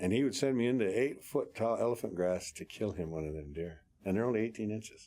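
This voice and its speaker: An American-accented man with a fairly low pitch, dark, mellow tone and lively intonation. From Montana, Northern Cheyenne reservation. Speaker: war veteran. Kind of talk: interview. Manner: halting.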